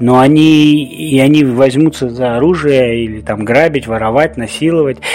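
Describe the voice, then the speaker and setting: Noticeable background noise sits behind a man speaking at a moderate pace. His voice is fairly high and his intonation lively. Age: 40s. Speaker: podcast host. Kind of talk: solo podcast monologue.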